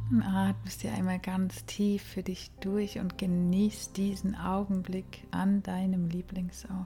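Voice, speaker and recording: A calm, soothing tone at a very slow pace, with hardly any pauses. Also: woman. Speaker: yoga teacher and meditation guide. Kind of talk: guided meditation. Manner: slow, soft, calm and soothing, with long pauses; gentle, hushed, dreamy.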